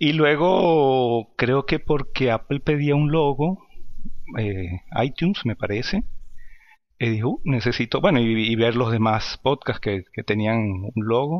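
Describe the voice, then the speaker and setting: A man's very slow speech carries lively intonation. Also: medium pitch for a man. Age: 50s. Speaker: podcaster and maintenance technician. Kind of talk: interview. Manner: halting.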